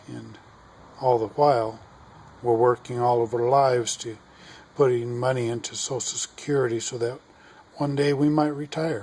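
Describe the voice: A man with an American accent, medium pitch, a slightly mellow tone, fairly even intonation, a moderate pace and long, frequent pauses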